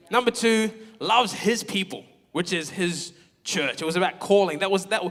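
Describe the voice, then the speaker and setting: A man talks loudly at a fairly quick pace in a high, animated voice. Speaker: pastor. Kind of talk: sermon.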